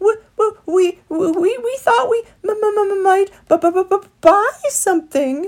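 Someone uses a put-on character voice at an extremely high pitch and a very slow pace. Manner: stammering, nervous.

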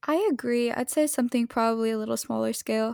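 Dry, close sound with no echo from a woman at a fairly high pitch and moderate pace, on a very clean recording with a silent background. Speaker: co-host, roller coaster enthusiast. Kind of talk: casual chat podcast about theme parks.

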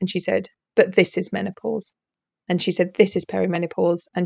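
Vocal fry runs through this woman's medium-pitched voice. She talks at a very fast pace. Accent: British. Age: 50s. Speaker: leadership coach and therapist. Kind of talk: casual interview.

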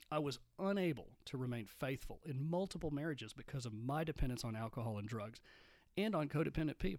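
Talking at a very fast pace, a man with a West Texas accent uses a fairly high pitch and lively intonation. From Texas, Midland. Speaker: podcast host, recovering alcoholic. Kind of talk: solo monologue podcast.

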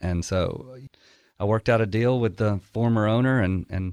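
Over a quiet background, a man with an Alabama accent talks at a moderate pace and fairly low pitch with ordinary pitch variation, the sound dry and close with no echo. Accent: Southern US (Alabama). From Alabama, small town. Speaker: chef and restaurant owner. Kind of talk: casual interview chat.

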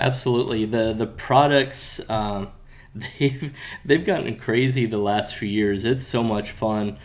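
In a normal speaking voice with an American accent, a man talks at a fairly slow pace and medium pitch with ordinary pitch variation. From Florida. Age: 30s. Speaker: kayak and paddle sports sales rep. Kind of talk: casual interview chat. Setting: trade event.

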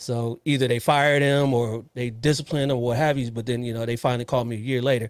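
Speaking at a very fast pace with hardly any pauses, a man holds a medium pitch in a monotone, flat intonation. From US West Coast, Los Angeles area. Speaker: police officer and podcast host. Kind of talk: casual interview chat.

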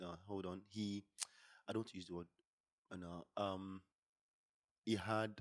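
A man's very deep, low voice at a fairly slow pace, monotone and flat, broken by long, frequent pauses. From Nigeria. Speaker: podcast co-host. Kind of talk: casual chat.

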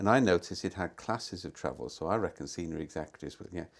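In a Welsh accent, a man talks at a very fast pace with ordinary pitch variation. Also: very clean recording, silent background. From Wales. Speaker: management consultant and thinker. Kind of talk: conversational interview. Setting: outdoors.

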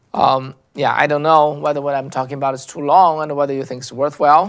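This man has a Chinese accent and a fairly high pitch, and he talks at a moderate pace. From China. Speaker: political commentary host. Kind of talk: monologue commentary. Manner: halting, many fillers and repetitions.

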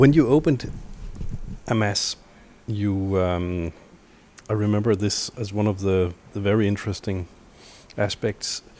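Pausing long and often, a man with a Danish accent talks at a fairly slow pace in a fairly low, dark, mellow voice with ordinary pitch variation. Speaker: podcast interviewer. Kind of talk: casual interview.

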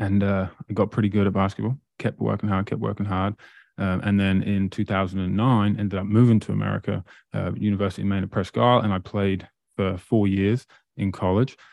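Speaking fairly quickly in an East Anglian accent, a man uses a fairly low pitch and fairly even intonation. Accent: English (East Anglia). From England, Great Yarmouth. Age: 30s. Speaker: motivational speaker and entrepreneur. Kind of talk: casual interview.

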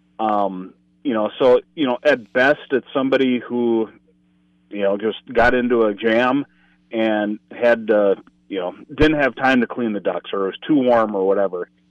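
The speaker has a Minnesota accent, talks at a moderate pace, and uses ordinary pitch variation. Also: man, medium pitch for a man. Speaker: state conservation enforcement communications officer and author. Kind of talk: casual chat.

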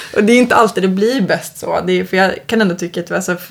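Over noticeable background noise, the speech runs at a fairly quick pace with fairly even intonation. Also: woman. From Uppland, Sweden (Knutby). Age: 30s. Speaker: guitarist. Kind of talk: casual chat.

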